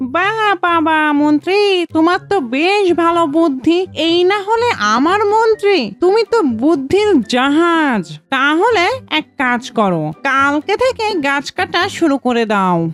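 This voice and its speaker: An extremely high-pitched cartoonish character voice speaks at a fairly slow pace over music in the background. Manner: boastful, mocking, laughing.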